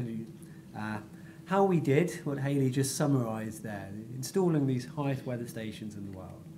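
A man's dark, mellow, somewhat breathy voice with lively intonation at a moderate pace, over light background noise. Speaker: guest lecturer. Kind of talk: lecture. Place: hall. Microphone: podium.

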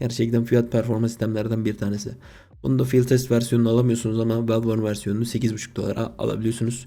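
A man with a dark, mellow tone and medium pitch talks at a very fast pace. His intonation stays monotone and flat. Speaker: gaming YouTuber. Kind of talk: casual video commentary. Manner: casual, slangy.

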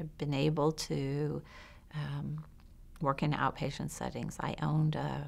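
A woman's fairly slow speech, low in pitch, with vocal fry and a slightly mellow tone

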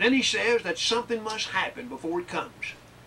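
A man speaks in a raised, projected voice. Light background noise is audible. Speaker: preacher. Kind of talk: sermon. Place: classroom.

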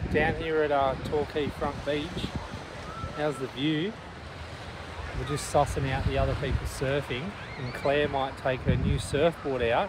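With noticeable background noise and a dry sound with no echo, a man talks at a fairly slow pace, leaving long, frequent pauses. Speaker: travel vlogger. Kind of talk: casual vlog chat. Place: open country. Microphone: phone near.

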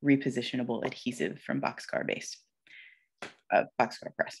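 The speaker has an American accent, and the background is quiet. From South Carolina, US South. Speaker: letterpress printer. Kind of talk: artist talk presentation. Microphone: video call.

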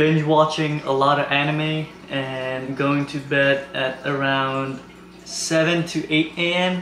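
There is audible room echo and light background noise around this man. He speaks with monotone, flat intonation. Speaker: fitness vlogger. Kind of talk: casual vlog chat. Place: kitchen.

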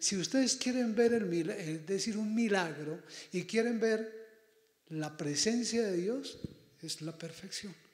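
A man speaks at a fairly slow pace with ordinary pitch variation. There is audible room echo against a quiet background. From Colombia, Boyacá; Colombia. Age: 60s. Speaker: priest. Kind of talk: address to students; prayer. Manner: animated. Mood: warm, pastoral. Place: hall.

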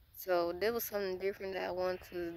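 The speaker has an American accent and talks at a moderate pace. The intonation is monotone and flat, and the sound is dry with no echo. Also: woman. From United States. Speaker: YouTuber; vlogger. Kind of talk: casual Q&A vlog. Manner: hesitant, many filler words. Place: forest. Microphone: phone near.

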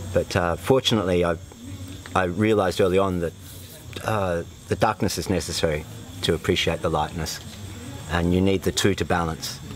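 Speaking with an Australian accent, a man with a very deep, low pitch moves at a fairly quick pace with long, frequent pauses and fairly even intonation, light background noise behind him. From Australia, northern New South Wales. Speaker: retreat participant, former fitter machinist. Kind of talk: testimonial interview. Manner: halting, with many fillers. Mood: reflective, calm. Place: open country.

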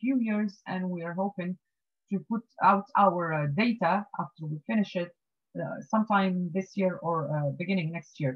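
A woman speaks at a moderate pace with a medium, somewhat breathy pitch and ordinary pitch variation. The background is quiet. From Tunisia. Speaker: marine scientist. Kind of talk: lecture. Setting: video call. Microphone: video call.

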